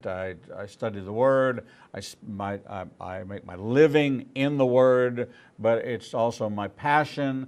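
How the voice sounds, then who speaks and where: An unremarkable speaking voice moves at a fairly slow pace with ordinary pitch variation. Loudness swings widely, and the background is quiet. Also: man, medium pitch for a man. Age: 60s. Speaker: rabbi and talk show host. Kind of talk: interview.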